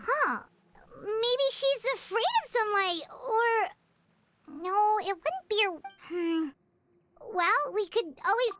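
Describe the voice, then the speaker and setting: An extremely high-pitched, put-on character voice speaks at a very slow pace. Long pauses come often. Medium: video game. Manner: blunt, exclamatory.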